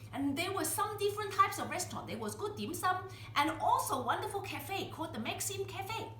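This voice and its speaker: Over noticeable background noise and audible room echo, a woman speaks. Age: 70s. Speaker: home cook. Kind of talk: cooking tutorial. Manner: chatty, conversational.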